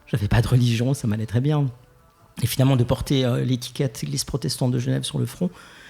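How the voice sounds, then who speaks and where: Music plays in the background as a man talks at a fairly quick pace and medium pitch, with ordinary pitch variation and long, frequent pauses. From Geneva, Switzerland. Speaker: LGBTQ+ church ministry founder. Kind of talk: podcast interview. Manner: hesitant, many fillers.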